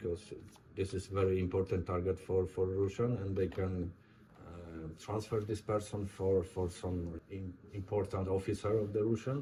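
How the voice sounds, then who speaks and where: With a Polish accent, a man speaks at a moderate pace in a very deep, low pitch, his dark, mellow tone somewhat breathy and his intonation fairly even. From Poland. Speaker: war veteran. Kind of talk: interview. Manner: halting.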